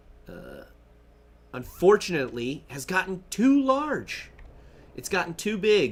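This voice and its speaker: Fairly slow speech in an American accent with very wide pitch swings. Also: man. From Kentucky, US. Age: 30s. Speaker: gaming streamer. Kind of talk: casual live-stream chat.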